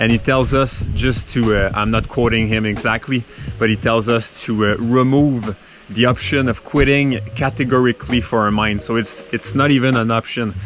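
A man talks at a moderate pace with fairly even intonation and very even loudness. The sound is dry with no echo, and music is clearly heard in the background. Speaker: cyclist vlogger. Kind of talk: casual vlog chat.

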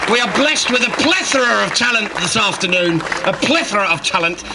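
A woman talks in an animated, playful tone with very wide pitch swings, over noticeable background noise. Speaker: stand-up comedian. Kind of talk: stand-up comedy. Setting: outdoors, stage with audience.

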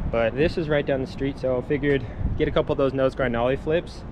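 A man talks at a fairly quick pace with fairly even intonation. Noticeable background noise runs underneath. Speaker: skateboarder vlogger. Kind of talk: casual vlog chat. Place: street. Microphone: phone near.

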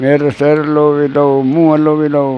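There's light background noise as a man speaks, the sound dry with no echo. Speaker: former wrestler. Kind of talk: interview answer. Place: home room. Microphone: lapel.

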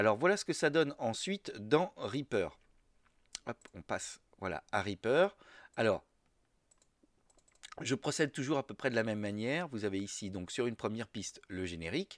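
A man at medium pitch and moderate pace, with very wide pitch swings and long, frequent pauses, in a dry, close recording with no echo, a very clean recording with a silent background. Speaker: podcaster. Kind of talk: tutorial. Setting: home office. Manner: halting, many hesitations.

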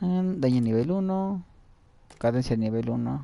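With a Mexican accent, a man speaks at medium pitch in a dark, mellow tone with lively intonation. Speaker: video game streamer. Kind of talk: live gameplay commentary. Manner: animated.

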